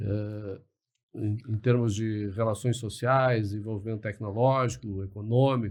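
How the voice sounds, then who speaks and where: Somewhat breathy and fairly low in pitch, a man speaks at a fairly slow pace with fairly even intonation. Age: 60s. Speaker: liberal commentator, podcast guest. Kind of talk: podcast interview. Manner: hesitant, many fillers and repetitions.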